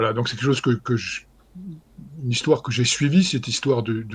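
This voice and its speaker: Ordinary pitch variation runs through this somewhat breathy voice. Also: man. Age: 60s. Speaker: historian. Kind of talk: interview. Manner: halting, many fillers.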